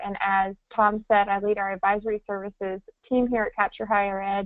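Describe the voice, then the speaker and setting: A woman with a slight Southern US accent talks at a fairly quick pace in a fairly high voice. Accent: slight Southern twang. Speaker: enrollment consultant, former financial aid director. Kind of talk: webinar presentation. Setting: online webinar.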